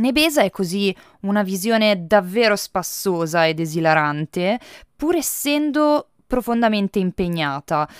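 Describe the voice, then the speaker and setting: Her pitch medium but swinging very widely, a woman speaks at a fairly slow pace with very even loudness, in a dry, close sound with no echo, on a very clean recording with a silent background. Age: 20s. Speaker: film critic. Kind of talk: podcast film review monologue.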